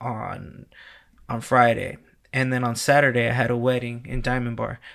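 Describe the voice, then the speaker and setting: In a very clean recording with a silent background, a man talks at a fairly quick pace with an ordinary speaking voice at medium pitch. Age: 30s. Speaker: wedding DJ. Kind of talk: casual interview chat.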